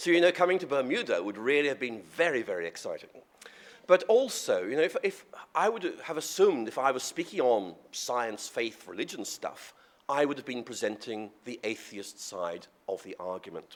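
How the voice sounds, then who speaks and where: A fairly high-pitched man's voice with vocal fry, very wide pitch swings and a moderate pace. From Northern Ireland. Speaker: professor and theologian. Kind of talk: lecture. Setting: podium before audience.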